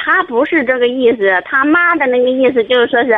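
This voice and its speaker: Lively intonation from a woman with a high-pitched voice. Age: 30s. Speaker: caller seeking marriage advice. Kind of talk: phone-in advice call. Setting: phone call.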